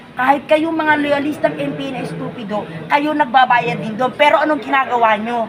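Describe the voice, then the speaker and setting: A woman speaks in an animated tone with a high pitch and lively intonation, over noticeable background noise. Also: moderate pace. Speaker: political vlogger. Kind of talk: casual political commentary.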